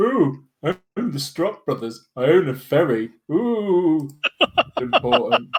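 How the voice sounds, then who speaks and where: A put-on character voice with very wide pitch swings, at a very slow pace. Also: man, fairly high pitch for a man. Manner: silly, exaggerated, mocking.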